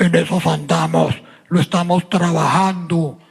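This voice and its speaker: A hoarse, put-on character voice at a middle pitch and a fairly slow pace. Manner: angry.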